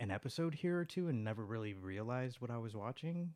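A man talks with lively intonation at a moderate pace. He has a normal speaking voice. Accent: American. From Chicago, US Midwest. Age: 30s. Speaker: podcast guest. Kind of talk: casual chat.

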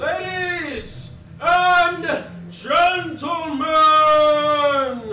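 A put-on character voice pitched high, carrying a slight echo. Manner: studious.

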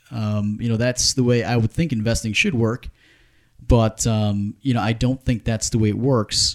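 A man speaks at a moderate pace and a medium pitch, with fairly even intonation. The recording is very clean with a silent background, and the sound is dry and close with no echo. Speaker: clothing retail business leader. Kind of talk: casual interview chat. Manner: hesitant, many fillers.

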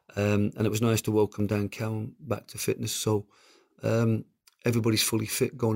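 The delivery is monotone and flat at a moderate pace, with a dry, close sound, no echo, and a very clean recording over a silent background. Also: man. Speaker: football manager. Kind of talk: interview answers.

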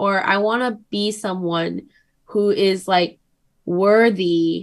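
Speaking at a very slow pace, a woman shows ordinary variation in pitch. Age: 20s. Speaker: podcast guest. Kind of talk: casual chat.

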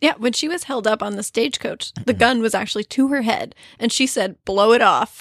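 Dry and close with no echo, a woman with an ordinary speaking voice talks fairly quickly at a fairly high pitch with lively intonation. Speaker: podcast host.

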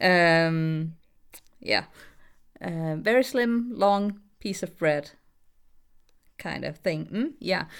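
Very slow and marked by long, frequent pauses, a woman's speech has a Danish accent, lively intonation and a fairly low pitch. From Denmark. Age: 30s. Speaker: voice actress. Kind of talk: casual interview. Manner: hesitant, many fillers; giggly, laughs often.

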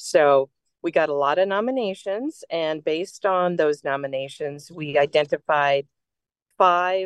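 The speaker has a normal speaking voice with ordinary pitch variation and a fairly slow pace. The sound is dry and close, with no echo. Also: woman, fairly low pitch for a woman. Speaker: audio description gala organizer. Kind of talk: casual chat. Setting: in transit.

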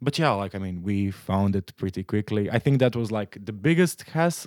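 A man's fairly low voice with a Croatian accent, dry and close with no echo. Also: very clean recording, silent background. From Croatia, Split. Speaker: international student. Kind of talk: casual chat.

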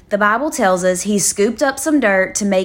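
This is a woman speaking. She has a South Louisiana accent. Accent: South Louisiana Southern US. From South Louisiana, Livingston. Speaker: devotional podcast host. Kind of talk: devotional Bible teaching.

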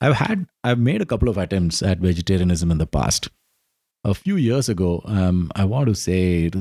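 In a very clean, dry and close recording with no echo and a silent background, a man with an Indian accent speaks at a fairly quick pace in a very deep, low voice with a dark, mellow tone, ordinary pitch variation and very even loudness. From South India. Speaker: podcast co-host. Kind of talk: casual chat.

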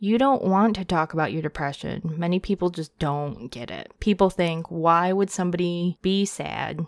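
Talking at a moderate pace, a woman has an unremarkable speaking voice with a fairly low pitch and ordinary pitch variation. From United States (adopted from South Korea). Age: 30s. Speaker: podcast host. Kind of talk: casual monologue.

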